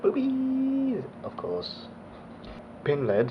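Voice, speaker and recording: The speaker has an English accent. There is audible room echo and noticeable background noise. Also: man. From Australia (raised there, born abroad). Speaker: motovlogger. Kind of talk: casual Q&A vlog.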